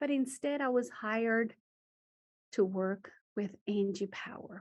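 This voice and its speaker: A woman's fairly high voice in a Spanish accent, with lively intonation at a fairly slow pace. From Guatemala. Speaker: teacher. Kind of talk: talk to students. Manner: switches between English and Spanish.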